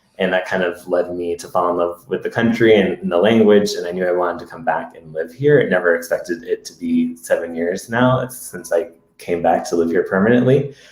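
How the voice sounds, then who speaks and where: A man with an American accent talks at a fairly quick pace with hardly any pauses. His loudness swings widely over noticeable background noise. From US, Massachusetts. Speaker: podcast co-host. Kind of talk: casual chat. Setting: live Facebook video stream.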